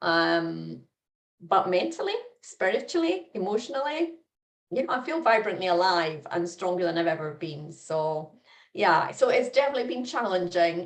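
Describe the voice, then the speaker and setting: A woman with a plain, everyday voice and medium pitch talks at a moderate pace, her intonation lively. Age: 60s. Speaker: life coach. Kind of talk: interview.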